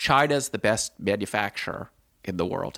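A man with an American accent and a plain, everyday voice, ordinary pitch variation, a fairly quick pace, and a dry, close sound with no echo. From Washington, D.C., US. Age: 50s. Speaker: former hedge fund manager, writer and podcaster. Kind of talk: interview.

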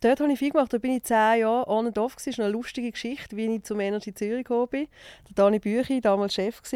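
Speaking at a very fast pace with a Basel accent, a woman with a fairly high pitch and a dark, mellow tone keeps her intonation fairly even, in a dry, close sound with no echo on a very clean recording with a silent background. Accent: Basel Swiss German dialect. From Switzerland, Basel. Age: 40s. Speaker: TV and radio presenter, entrepreneur. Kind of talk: casual interview chat.

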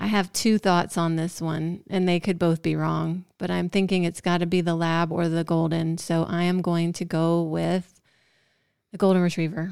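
A woman with an American accent speaks at a fairly slow pace in an animated tone, her pitch fairly low, on a very clean recording with a silent background. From US South, Georgia. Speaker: podcast co-host, dog expert. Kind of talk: casual chat, dog trivia quiz. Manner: animated, frequent laughter.

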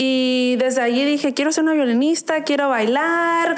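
Moderate pace and ordinary pitch variation, with audible room echo and noticeable background noise. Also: woman. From Arizona, US. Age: 20s. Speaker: violinist. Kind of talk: interview. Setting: studio.

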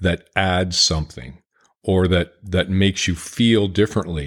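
Here a man with an Ontario accent speaks at a very deep, low pitch with fairly even intonation. The recording is very clean, with a silent background. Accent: Canadian (Ontario). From Ontario, Canada (Sarnia, near Detroit). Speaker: bluegrass harmonica player. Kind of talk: casual chat.

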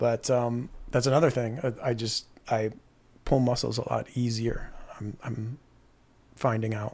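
Somewhat breathy and fairly slow, a man with a medium-pitched voice keeps his intonation fairly even and leaves long, frequent pauses. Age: 50s. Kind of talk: casual chat.

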